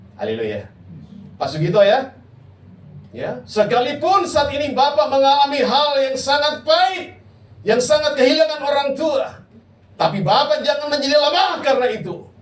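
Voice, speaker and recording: Loud and animated, a man speaks at an extremely high pitch with ordinary pitch variation. Audible room echo surrounds his voice. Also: moderate pace. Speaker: pastor. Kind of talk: sermon. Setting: church.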